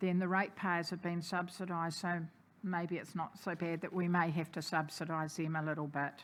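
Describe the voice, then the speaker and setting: A woman with a New Zealand accent, fairly low in pitch, at a fairly quick pace and in a monotone, flat intonation. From New Zealand, Napier. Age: 60s. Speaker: community advocate. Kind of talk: public submission at council hearing. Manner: hesitant with fillers.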